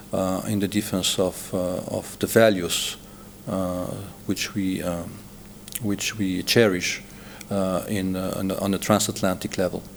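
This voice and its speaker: A man with a Slovenian accent talks at a fairly slow pace in a very deep, low pitch, with monotone, flat intonation and long, frequent pauses. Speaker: diplomat. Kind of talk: TV interview. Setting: TV studio. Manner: halting, many fillers.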